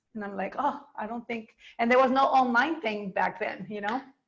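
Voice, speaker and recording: A woman speaks at a moderate pace with fairly high pitch and ordinary pitch variation, in an unremarkable speaking voice. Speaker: dance teacher. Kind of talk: interview.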